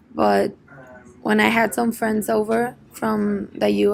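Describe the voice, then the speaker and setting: A very slow delivery in a Spanish accent, over noticeable background noise. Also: woman. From Mexico, Monterrey. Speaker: medical student. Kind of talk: interview, English speaking practice. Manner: halting, with repetitions.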